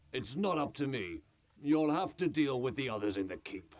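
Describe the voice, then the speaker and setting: Doing a put-on character voice, a man speaks at medium pitch and moderate pace. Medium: video game. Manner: stern, commanding.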